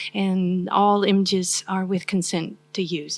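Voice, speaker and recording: A woman is speaking. She has a Southern US accent. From US South. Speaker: university professor. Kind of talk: academic lecture. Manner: soft-spoken.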